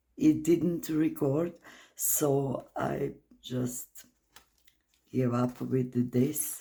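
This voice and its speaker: The speaker has a non-native accent and talks at a very slow pace with long, frequent pauses. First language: not English. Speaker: art channel creator. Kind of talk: casual art walkthrough. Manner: hesitant, many fillers.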